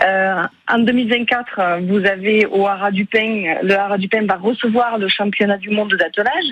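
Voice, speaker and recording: A woman speaks at a medium pitch. Her pace is moderate and her intonation fairly even. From Aveyron, southwest France. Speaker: regional politician. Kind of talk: radio interview. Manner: hesitant, many filler euh.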